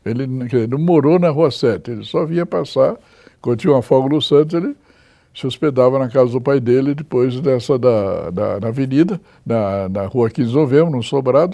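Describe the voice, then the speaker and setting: At a fairly quick pace, a man speaks in a medium-pitched, dark and mellow voice with ordinary pitch variation. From São Paulo state interior, Botucatu. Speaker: local historian. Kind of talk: interview. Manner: halting, many repetitions.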